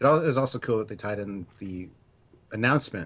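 Here a man talks at a fairly quick pace with a fairly low pitch and a somewhat breathy sound. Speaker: podcast co-host. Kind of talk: casual chat.

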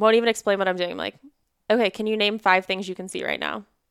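Talking at a very fast pace, a woman keeps a medium pitch and a monotone, flat intonation. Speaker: therapist, former crisis intervention specialist. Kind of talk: casual interview conversation. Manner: fast talker.

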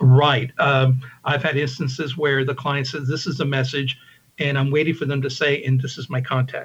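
Somewhat breathy and at a medium pitch, a man speaks at a moderate pace in a flat, monotone way. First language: English (Spanish second). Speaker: video producer. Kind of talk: interview.

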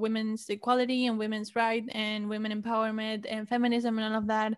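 A woman with a Spanish accent, fairly high in pitch, at a fairly quick pace with fairly even intonation, on a very clean recording with a silent background. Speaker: podcaster and college student. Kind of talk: casual interview.

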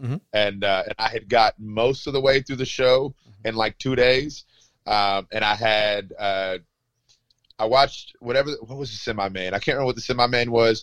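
A man with an American accent speaks in an unremarkable speaking voice at medium pitch and a moderate pace. His intonation stays fairly even, and the sound is dry and close with no echo. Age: 30s. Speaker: wrestling referee. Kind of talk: casual interview.

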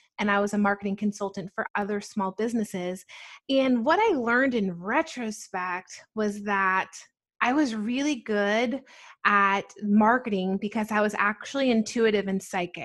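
On a very clean recording with a silent background, a woman with an American accent speaks at a moderate pace in a fairly high pitch, with ordinary pitch variation and an unremarkable speaking voice. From New Jersey and Atlanta, US. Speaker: spiritual shop owner. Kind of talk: interview.

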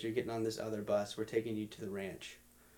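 A man speaks at a medium pitch. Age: 20s. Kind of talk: casual chat.

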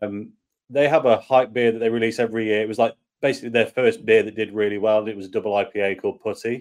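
A man with an English accent talks at a very fast pace in a medium pitch with monotone, flat intonation. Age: 30s. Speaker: beer and whiskey YouTuber. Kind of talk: casual chat. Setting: video call.

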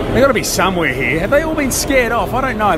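Extremely high-pitched male voice at a very fast pace with very wide pitch swings, audible room echo and crowd noise in the background. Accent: Australian. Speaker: travelling football reporter. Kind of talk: on-location reporting and live commentary. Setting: outdoors at World Cup in Moscow.

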